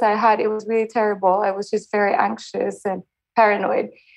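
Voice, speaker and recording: A woman talking at a very fast pace. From Spain. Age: 30s. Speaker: caller seeking relationship advice. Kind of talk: advice call. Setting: phone call.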